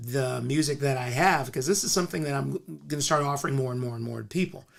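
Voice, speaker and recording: A man's voice has a fairly high pitch. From US West Coast, Compton, California. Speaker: musician and esoteric philosopher. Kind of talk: casual interview chat. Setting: studio. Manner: halting, with many fillers.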